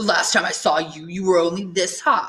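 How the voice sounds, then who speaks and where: A put-on, female-sounding character voice at middle pitch, hissing, at a moderate pace. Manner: hissing, taunting, menacing.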